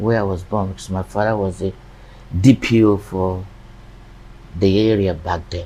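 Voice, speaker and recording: The man's voice has a dark, mellow tone and a moderate pace. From Nigeria. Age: 60s. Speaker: real estate businessman. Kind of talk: interview conversation. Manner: halting, repeats words.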